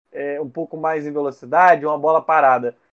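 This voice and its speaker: Here a man has an ordinary speaking voice at a fairly high pitch. He talks at a moderate pace. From Rio de Janeiro state, Barra Mansa. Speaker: football pundit. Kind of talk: casual chat.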